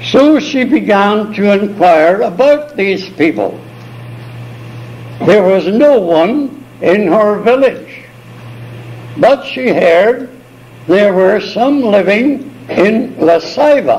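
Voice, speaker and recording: Marked by long, frequent pauses, the very slow speech has lively intonation and very even loudness, with audible room echo and noticeable background noise. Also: man, high pitch for a man. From Ireland. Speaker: missionary. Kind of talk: oral history storytelling. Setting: multi-purpose room of a retirement home. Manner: confident; animated. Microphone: cheap cassette recorder, tape crackle.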